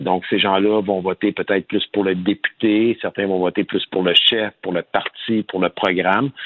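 The delivery is monotone with flat intonation, at a moderate pace with hardly any pauses. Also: man, fairly low pitch for a man. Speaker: politician. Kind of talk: interview.

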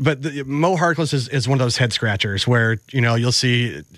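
Here a man with an American accent has a plain, everyday voice, medium in pitch, moving at a fairly quick pace. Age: 40s. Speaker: radio producer and co-host. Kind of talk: casual sports talk. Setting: studio.

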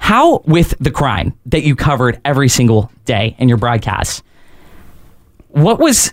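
With an American accent and a normal speaking voice, a man talks at a moderate pace with lively intonation and a fairly high pitch, and the sound is dry and close with no echo. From northern US. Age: 20s. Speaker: radio host. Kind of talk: talk radio. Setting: studio.

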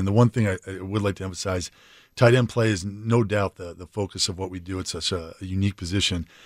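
Speaking very fast with an American accent, a man with a fairly low pitch keeps his intonation fairly even on a dry, close recording with no echo and a silent background. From Dayton, Ohio. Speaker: football coach. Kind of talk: radio interview. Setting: radio studio. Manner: halting.

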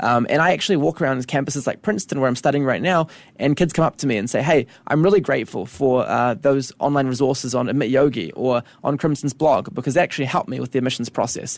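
A man with a New Zealand accent talks at a very fast pace. His voice sits at a medium pitch with ordinary pitch variation. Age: 20s. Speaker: education company co-founder. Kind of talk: interview. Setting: radio studio.

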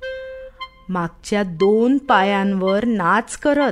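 The reading is done aloud in a natural voice, and the intonation is lively.

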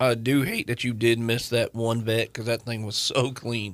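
In a plain, everyday voice of medium pitch, a man speaks at a moderate pace with fairly even intonation. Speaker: lawyer and car enthusiast co-host. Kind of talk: casual chat. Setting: studio.

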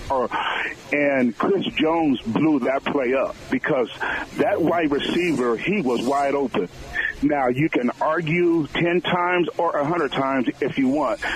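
There is noticeable background noise as a man talks at a fairly slow pace. His pitch is fairly high, with ordinary variation and very even loudness. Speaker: caller. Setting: phone call.

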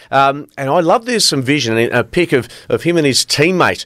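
Recorded dry and close with no echo, a man with an Australian accent talks at a moderate pace with ordinary pitch variation, the recording very clean over a silent background. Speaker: sports presenter. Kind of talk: sports news chat. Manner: hesitant, many fillers.

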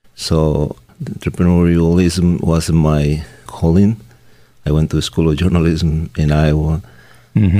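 Over noticeable background noise, a man speaks with a very deep, low pitch and monotone, flat intonation. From South America. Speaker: news publisher and entrepreneur. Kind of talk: interview.

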